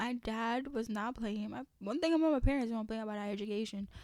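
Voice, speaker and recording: Here a woman's pitch is fairly high. It varies in an ordinary way. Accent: New York. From Haiti, raised in New York from childhood. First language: French. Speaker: podcast host. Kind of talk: casual chat. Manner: casual, many fillers.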